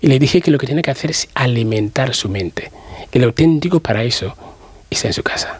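A man talks at a moderate pace and medium pitch with lively intonation. His voice has a slightly husky edge.

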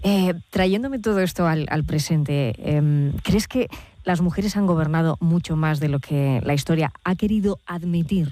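Her tone dark and mellow, a woman speaks at a low pitch and a moderate pace, with ordinary pitch variation and few pauses.

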